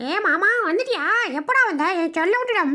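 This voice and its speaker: An extremely high, put-on character voice moves at a moderate pace. Light background noise can be heard. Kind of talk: comic funny voice dubbing. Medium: voice reel. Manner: fast, comic.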